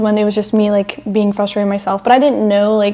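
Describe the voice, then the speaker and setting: Over noticeable background noise, a woman talks at a fairly high pitch with an American accent. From United States. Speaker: podcast co-host. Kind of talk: casual chat. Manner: animated.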